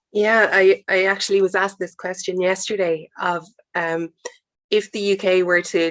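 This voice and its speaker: With an Irish accent, a woman talks at a moderate pace in a medium pitch, her intonation monotone and flat, and the sound is dry and close with no echo. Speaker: panel guest, hydrogen industry representative. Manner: hesitant, repeats words.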